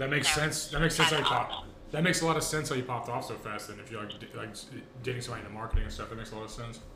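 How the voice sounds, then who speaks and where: Background noise is noticeable in this clip. A man talks very fast over it. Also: medium pitch for a man, ordinary pitch variation, big swings in loudness. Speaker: podcast host. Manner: fast talker, gets hyped up; casual, joking.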